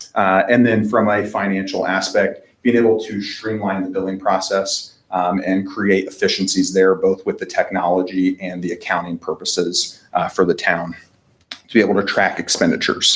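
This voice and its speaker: A man with a Midwestern American accent speaks in a fairly low pitch with monotone, flat intonation. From Indiana. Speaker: fleet management sales representative. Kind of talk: business presentation. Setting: town council meeting. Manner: fast.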